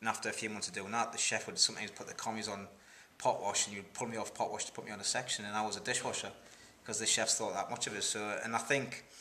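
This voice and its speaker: Over light background noise, a man talks at a very fast pace. His fairly low voice has monotone, flat intonation. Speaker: interviewee. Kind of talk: interview answer. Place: home room.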